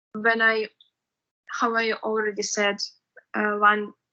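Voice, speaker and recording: With a Russian accent, a woman speaks very slowly at a fairly high pitch in a bright, sharp tone. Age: 20s. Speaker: university student. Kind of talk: interview. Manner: halting.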